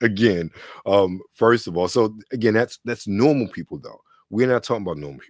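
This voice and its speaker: An unremarkable speaking voice from a man, fairly low in pitch with ordinary variation, at a fairly quick pace with big swings in loudness, dry and close with no echo. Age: 40s. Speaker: podcast host. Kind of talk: casual chat.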